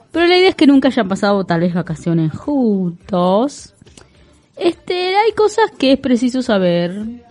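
Noticeable background noise sits under a woman's fairly high-pitched speech. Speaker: radio co-host. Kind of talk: casual radio chat with read-out segments.

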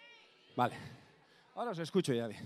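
Animated and lively in intonation, a man speaks with a fairly high voice. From Basque Country (Bizkaia). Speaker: folk musician and singer. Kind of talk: stage banter at a concert. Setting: stage with audience.

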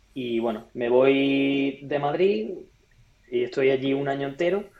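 A man speaks in an ordinary speaking voice with a fairly high pitch and ordinary pitch variation. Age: 20s. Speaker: entrepreneur and former pro triathlete. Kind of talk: interview.

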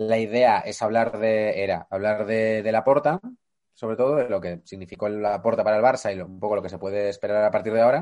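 Moving at a fairly quick pace against a quiet background, a man speaks in a plain, everyday voice with a fairly low pitch. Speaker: podcast co-host. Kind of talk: casual chat. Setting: video call.

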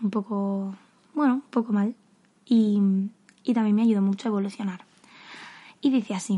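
A somewhat breathy woman speaks in a dark, mellow tone. She leaves long, frequent pauses against a quiet background. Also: medium pitch for a woman, moderate pace. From Madrid, Spain. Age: 20s. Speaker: podcaster. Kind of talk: casual solo monologue. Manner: animated. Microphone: new fairly professional microphone.

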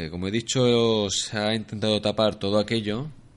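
Against a quiet background, a man with a Spanish accent talks at a moderate pace and a fairly low pitch. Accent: Spanish (Spain). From Spain, Alicante. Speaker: traveller and former volunteer teacher. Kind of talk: casual interview. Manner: halting.

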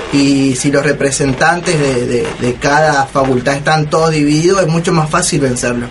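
Amid noticeable background noise and audible room echo, a man speaks at a moderate pace in a fairly high pitch with fairly even intonation. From Argentina. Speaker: student union radio host. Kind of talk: casual chat.

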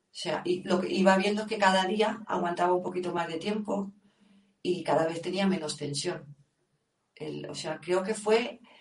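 At a moderate pace, a woman of medium pitch talks in an unremarkable speaking voice. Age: 50s. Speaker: yoga teacher. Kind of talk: interview.

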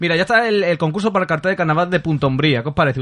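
Bright and sharp in tone, a man's high-pitched voice shows ordinary pitch variation. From Andalusia, Huelva province. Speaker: carnival radio show host. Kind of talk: casual radio chat and interview.

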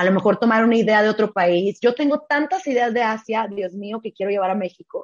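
With a plain, everyday voice, a woman speaks at a fairly high pitch and a fairly quick pace, with ordinary pitch variation, hardly any pauses, and a dry, close sound with no echo. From Mexico (Tijuana, Baja California). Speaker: travel blogger and former hotel worker. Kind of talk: interview storytelling.

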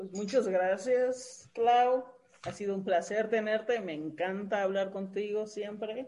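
With a Mexican accent, a woman talks at a very slow pace in a dark, mellow tone at medium pitch, her pitch varying in an ordinary way while her loudness swings widely. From Mexico. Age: 30s. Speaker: podcast co-host. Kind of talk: interview.

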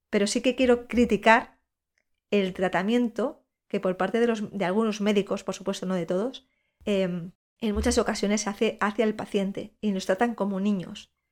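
On a very clean recording with a silent background, a woman with an unremarkable speaking voice talks at a moderate pace, medium in pitch and fairly even in intonation. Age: 40s. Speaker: podcast host and breast cancer patient. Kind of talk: personal monologue.

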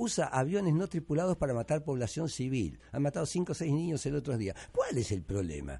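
Noticeable background noise behind a man's animated, fairly quick speech, fairly high in pitch with very wide pitch swings and hardly any pauses. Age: 70s. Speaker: radio host and journalist. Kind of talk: radio talk show.

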